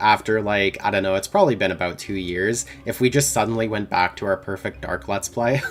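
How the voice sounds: The delivery is a natural reading voice.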